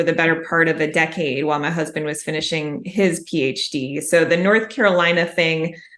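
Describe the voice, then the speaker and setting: Against noticeable background noise, a woman with a fairly low pitch and an American accent talks at a fairly quick pace. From US Midwest, Chicago. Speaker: mystery author. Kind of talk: interview conversation.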